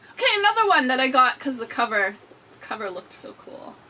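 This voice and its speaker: Over noticeable background noise, a raised, projected voice moves at a fairly quick pace with very wide pitch swings. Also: woman. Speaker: book video creator. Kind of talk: casual book haul chat. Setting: indoors by an open window. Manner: animated.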